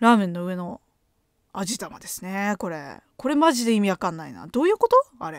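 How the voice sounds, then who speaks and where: A woman's lively, fairly quick delivery with big swings in loudness, dry sound with no echo, and a quiet background. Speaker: graduate student and podcaster; podcaster. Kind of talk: casual chat. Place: home room. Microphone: studio mic.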